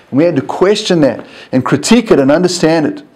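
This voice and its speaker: A man talks at a fairly quick pace in a fairly high voice with a dark, mellow tone. His pitch swings very widely, and audible room echo surrounds him. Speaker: university lecturer. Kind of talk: recorded lecture tutorial.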